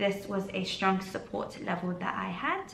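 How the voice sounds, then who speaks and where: There is noticeable background noise and audible room echo. Through it, a woman speaks at a medium pitch. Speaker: trading educator. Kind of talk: tutorial. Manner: fast.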